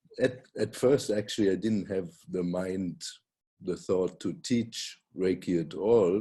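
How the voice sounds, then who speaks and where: With a German accent, a man speaks at a fairly slow pace in a very deep, low pitch and a dark, mellow tone, with ordinary pitch variation against a quiet background. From Germany. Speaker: Reiki teacher and author. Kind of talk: casual chat.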